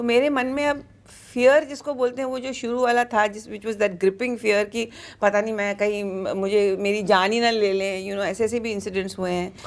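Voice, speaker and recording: With an ordinary speaking voice, a woman talks at a moderate pace, her fairly high pitch showing ordinary pitch variation. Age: 60s. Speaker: pediatrician and social worker. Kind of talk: interview. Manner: code-switching Hindi and English.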